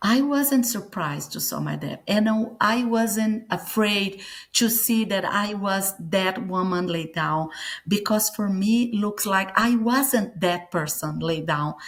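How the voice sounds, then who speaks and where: With a Brazilian accent, a woman talks at a very slow pace in a medium pitch. Her voice is somewhat breathy, and her pitch varies in an ordinary way. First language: Portuguese. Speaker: near-death experience survivor and author. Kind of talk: interview testimony. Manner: halting, searching for English words.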